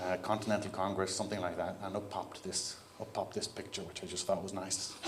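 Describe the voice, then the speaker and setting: A flat, monotone voice with an Irish accent and audible room echo. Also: man. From Ireland. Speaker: keynote speaker, software CTO. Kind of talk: conference keynote talk. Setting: stage with audience. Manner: casual, conversational.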